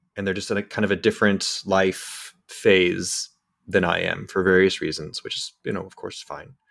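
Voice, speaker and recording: Speaking at a moderate pace, the man's voice swings widely in loudness. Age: 40s. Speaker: podcast host. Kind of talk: casual chat. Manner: halting.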